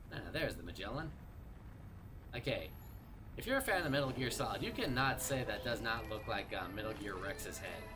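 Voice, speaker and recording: Long, frequent pauses within a fairly quick pace, with audible room echo and music in the background. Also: man. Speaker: gaming streamer. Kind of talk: live gameplay commentary.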